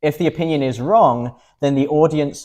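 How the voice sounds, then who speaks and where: This man's dark, mellow tone carries at a moderate pace. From England. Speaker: medical doctor and bioethicist, debater. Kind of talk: formal debate opening speech.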